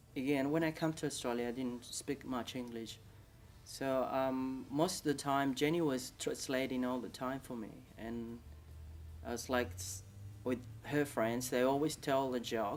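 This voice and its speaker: Over music in the background, a man with a medium-pitched voice speaks at a fairly slow pace with ordinary pitch variation. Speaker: migrant interviewee. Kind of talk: interview testimony.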